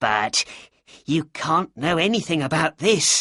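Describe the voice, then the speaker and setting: Someone puts on a character voice at a middle pitch, talking at a fairly slow pace over a quiet background. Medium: read story. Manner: weak, anxious.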